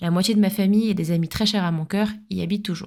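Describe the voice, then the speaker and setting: A woman's voice at medium pitch, dark and mellow in tone, at a fairly quick pace with fairly even intonation, in a very clean recording with a silent background. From France, Paris suburbs (Essonne). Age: 30s. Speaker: podcast host. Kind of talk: scripted narration.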